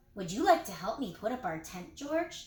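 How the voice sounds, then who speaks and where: A put-on character voice moves at a moderate pace, its pitch swinging very widely. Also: woman, fairly high pitch for a woman. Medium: read story. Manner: gentle, fatherly.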